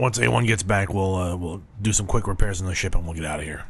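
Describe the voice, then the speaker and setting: A man puts on a raspy character voice, very deep and low in pitch, talking at a very fast pace. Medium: actual play. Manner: hesitant, stammering.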